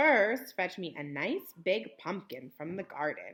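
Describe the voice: A woman puts on a character voice, fairly low-pitched and fairly bright with a slightly husky edge, speaking at a fairly slow pace with big pitch swings.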